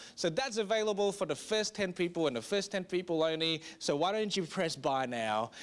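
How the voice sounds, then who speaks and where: On a very clean recording with a silent background, a man with an Australian accent and a high pitch speaks at a moderate pace with lively intonation. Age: 30s. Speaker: pastor. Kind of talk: sermon.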